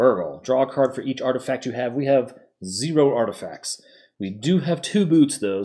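The speaker's intonation is lively while reading in a natural voice.

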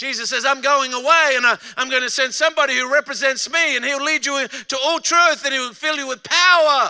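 A man with an Australian accent projects a raised voice at an extremely high pitch, with a bright, sharp tone. He keeps his intonation fairly even and hardly pauses, over a quiet background. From Australia, Adelaide. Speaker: pastor. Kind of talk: sermon. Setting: stage with audience. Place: stage. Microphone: handheld.

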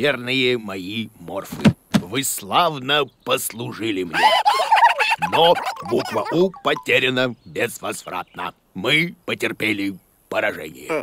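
A cartoonish character voice moves at a slow pace with lively intonation. Its tone is bright and sharp. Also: man, fairly low pitch for a man.

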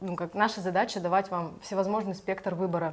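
A woman speaks at a medium pitch with monotone, flat intonation. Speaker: event organizer hosting livestream. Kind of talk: livestream introduction and announcements. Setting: online live broadcast. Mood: calm, friendly. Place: studio.

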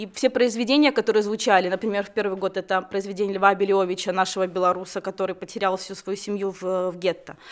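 Against a quiet background, a woman rushes along at a very fast pace with hardly any pauses and fairly even intonation. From Belarus, Babruysk; Belarus. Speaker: concert organizer; guest. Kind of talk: studio interview. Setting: radio studio. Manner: halting. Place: studio. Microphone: studio mic.

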